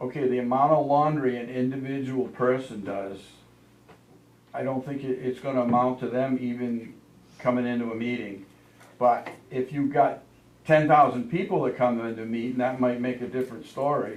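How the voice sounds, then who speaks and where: With audible room echo, a man speaks at medium pitch and a moderate pace, keeping his intonation fairly even. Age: 70s. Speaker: laundromat owner speaking at town meeting. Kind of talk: public comment at town board meeting. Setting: town office meeting room. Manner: halting, repetitive.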